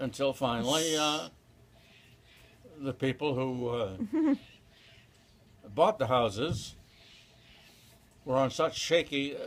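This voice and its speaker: Pausing long and often, a man speaks at a very slow pace with ordinary pitch variation. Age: 80s+. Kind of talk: interview answer. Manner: slow, hesitant.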